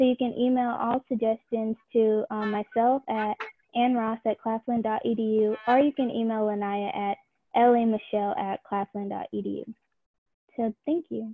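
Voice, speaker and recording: With light background noise but a dry sound with no echo, a woman speaks at a fairly slow pace and fairly even intonation. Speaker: presenter. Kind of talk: presentation. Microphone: video call.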